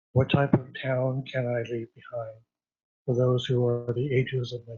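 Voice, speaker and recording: A man speaks in a somewhat breathy voice. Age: 60s. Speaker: local businessman giving public comment. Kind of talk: public comment at a council meeting. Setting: city council meeting.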